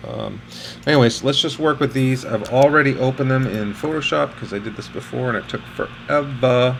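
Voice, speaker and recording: A man at a moderate pace, ordinary pitch variation, noticeable background noise. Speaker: architectural photographer. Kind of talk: tutorial.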